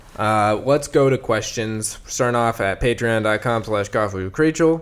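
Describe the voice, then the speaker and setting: In a normal speaking voice, a man speaks at a moderate pace with lively intonation. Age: 20s. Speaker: podcast co-host. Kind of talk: casual chat.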